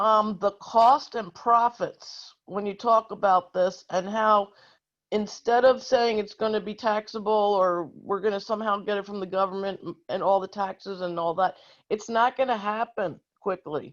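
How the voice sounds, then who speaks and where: Her pitch sits in the middle range, and she uses an ordinary speaking voice. The woman talks at a moderate pace with fairly even intonation. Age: 60s. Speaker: activist audience member. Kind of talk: audience question at virtual town hall. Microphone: connection dropped briefly.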